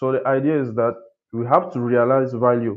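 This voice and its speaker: The speaker has a slight French accent and talks at a moderate pace. The intonation stays monotone and flat. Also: man. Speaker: architect, webinar speaker. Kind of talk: webinar presentation. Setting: video call webinar. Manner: halting, many fillers.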